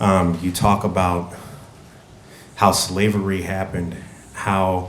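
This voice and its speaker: A man with an American accent speaks fairly slowly in a very deep, low pitch, his intonation monotone and flat. Music plays in the background, and room echo is audible. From US Midwest, Oak Park, Illinois. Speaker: community representative. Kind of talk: public speech.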